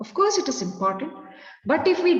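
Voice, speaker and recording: A woman with an Indian accent, very wide pitch swings, and audible room echo. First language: Kannada. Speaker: educator, resource person. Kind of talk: lecture.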